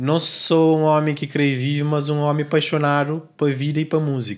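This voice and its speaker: A man talks at a moderate pace with a fairly high pitch. The background is quiet. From Cape Verde. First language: Cape Verdean Creole (speaking Portuguese). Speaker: podcast host. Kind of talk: interview. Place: studio. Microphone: studio mic.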